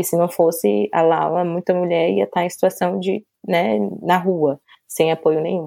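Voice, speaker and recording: A woman's fairly low, dark and mellow voice on a very clean recording with a silent background. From Brazil, Salvador, Bahia. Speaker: journalist and publicist. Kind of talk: casual interview chat.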